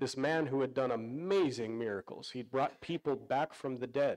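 The background stays quiet while a man speaks at a moderate pace. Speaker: pastor. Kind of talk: sermon. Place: church.

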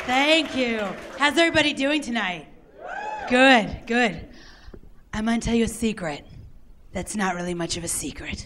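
A woman speaks with very wide swings in pitch. Her speech has long, frequent pauses over light background noise. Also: fairly high pitch for a woman, moderate pace. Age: young. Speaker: comedian. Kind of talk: stand-up. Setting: stage with audience. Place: stage. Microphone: handheld.

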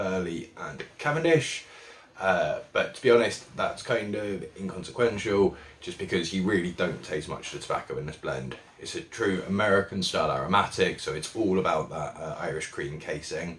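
A man talks at a moderate pace, his loudness swinging a lot. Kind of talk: product review talk. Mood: relaxed, appreciative. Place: shop. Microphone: phone near.

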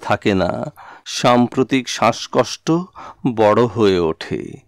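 On a very clean recording with a silent background and a dry, close sound with no echo, a man uses an ordinary speaking voice at medium pitch with lively intonation. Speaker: poetry reciter. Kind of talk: poetry reading.

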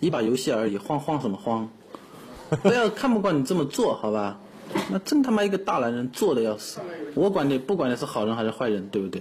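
A man with a medium-pitched voice talks at a fairly quick pace with very wide pitch swings over light background noise. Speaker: werewolf game player; game streamer. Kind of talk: game discussion. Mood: agitated, argumentative. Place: home room. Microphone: studio mic.

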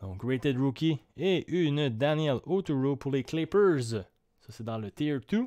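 The speech moves at a very slow pace with lively intonation. The background is quiet. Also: man, fairly high pitch for a man. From Quebec. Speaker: card break streamer. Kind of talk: live stream commentary. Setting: at home, evening live stream. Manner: calmer, not shouting. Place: home room.

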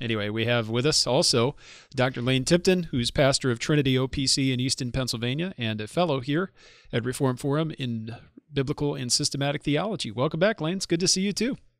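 Dry sound with no echo, ordinary pitch variation, a fairly quick pace and a quiet background. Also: man. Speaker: podcast host. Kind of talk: podcast host introduction and conversation. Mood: warm, friendly. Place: studio. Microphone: studio mic.

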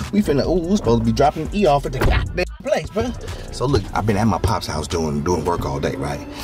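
A man talking at a very fast pace, dry sound with no echo, clear music in the background. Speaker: vlogger. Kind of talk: casual vlog chat.

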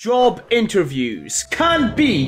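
With faint music in the background, a man talks using very wide pitch swings. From Scotland. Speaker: gaming YouTuber. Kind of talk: let's play commentary. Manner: excitable, swearing. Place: home room. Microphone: headset.

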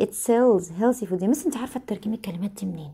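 A woman with an Egyptian accent speaks at a very fast pace with ordinary pitch variation. Her tone is dark, mellow and somewhat breathy. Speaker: English teacher. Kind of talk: lesson. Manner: repetitive, drilling phrases aloud. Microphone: phone near.

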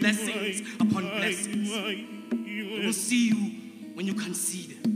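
A male speaker talks fairly slowly while music plays behind him. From South Africa. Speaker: spoken word artist. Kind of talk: spoken word poetry performance. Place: stage. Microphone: handheld.

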